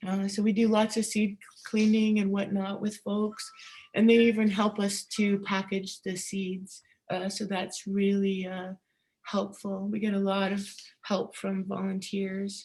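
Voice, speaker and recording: The voice is somewhat breathy and delivered in a monotone, flat intonation. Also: woman, medium pitch for a woman, fairly slow pace. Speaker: seed keeper presenter. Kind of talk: conference presentation with slides.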